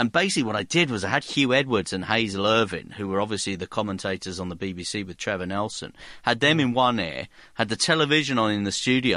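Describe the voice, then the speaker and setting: Very fast and with lively intonation, a man speaks in a southern English accent with a bright, sharp tone. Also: quiet background. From South Hertfordshire, England. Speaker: sports podcast host. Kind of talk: casual chat.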